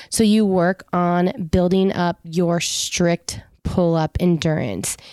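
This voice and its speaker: On a very clean recording with a silent background, a woman speaks in a fairly low pitch with monotone, flat intonation. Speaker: fitness and nutrition coach, podcast host. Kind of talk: solo podcast talk.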